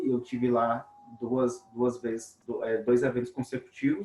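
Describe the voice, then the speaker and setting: A man's voice at a medium pitch. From Brazil, Minas Gerais near Bahia border. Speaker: webinar host, robotics teacher. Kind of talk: webinar conversation.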